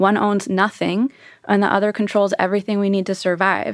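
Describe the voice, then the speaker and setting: On a very clean recording with a silent background and a dry, close sound with no echo, a woman with an American accent speaks at a moderate pace and medium pitch in a plain, everyday voice. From US West Coast, California. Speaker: economics professor. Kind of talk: panel discussion.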